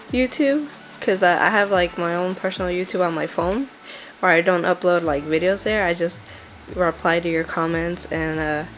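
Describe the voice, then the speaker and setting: Against noticeable background noise, a woman with a fairly low voice speaks at a moderate pace with ordinary pitch variation. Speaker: crafter. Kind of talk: casual talk to camera. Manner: chatty; hesitant, filler-heavy.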